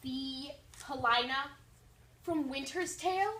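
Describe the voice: Using a put-on character voice, a woman speaks slowly in a high, bright, sharp tone with ordinary pitch variation, and room echo is audible.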